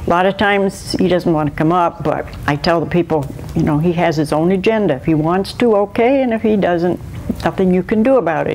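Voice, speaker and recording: Over noticeable background noise, a woman with a fairly low pitch speaks at a fairly quick pace with ordinary pitch variation. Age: 70s. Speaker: manatee caretaker. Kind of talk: interview. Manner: casual, chatty.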